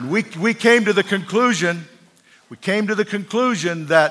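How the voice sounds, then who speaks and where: A man uses a raised, projected voice pitched high, with an animated tone. His pace is moderate and his pitch varies in an ordinary way. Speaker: preacher. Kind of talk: sermon. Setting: church with congregation. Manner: animated, emphatic preaching cadence with call-and-response.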